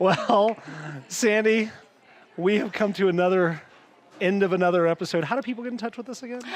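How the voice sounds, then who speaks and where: A man with a high pitch at a fairly quick pace, broken by long, frequent pauses, over noticeable background noise. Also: ordinary pitch variation. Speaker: podcast co-host. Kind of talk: casual chat.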